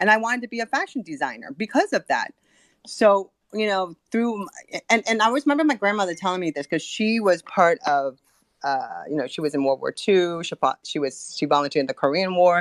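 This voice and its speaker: Her Californian accent is slight. A woman with a medium pitch speaks at a fairly quick pace, with very wide pitch swings. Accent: slight California twang in English. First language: not English, learned English from grandparents. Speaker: board member of a women's communications group. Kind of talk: casual panel chat. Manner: halting with many fillers.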